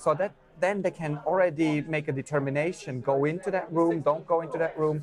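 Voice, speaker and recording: Over noticeable background noise, a man talks at a fairly quick pace with fairly high pitch and fairly even intonation. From Switzerland. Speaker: drone company director of education. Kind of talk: interview answer.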